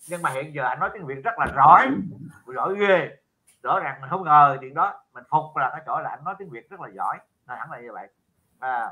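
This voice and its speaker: Speaking at a very fast pace against a quiet background, a man with a fairly high pitch uses lively intonation, big swings in loudness and a bright, sharp tone. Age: old. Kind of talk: casual chat. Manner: halting, many fillers. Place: home room. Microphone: video call.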